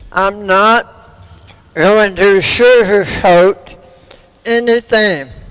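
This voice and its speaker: Against noticeable background noise, a man with a high voice speaks very slowly. He leaves long, frequent pauses and keeps a fairly even intonation. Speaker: cancer survivor speaker. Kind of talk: testimony.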